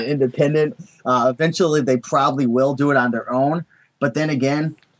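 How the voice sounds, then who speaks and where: Speaking at a fairly quick pace, a man with a New England accent has a fairly high pitch. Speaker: eBay seller. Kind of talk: interview answer.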